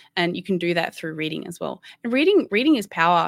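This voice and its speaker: Speaking at a fairly quick pace and medium pitch, a woman with an Australian accent comes through with a dry, close sound with no echo. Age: 30s. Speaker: gamer and podcast host. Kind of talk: casual interview. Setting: video call.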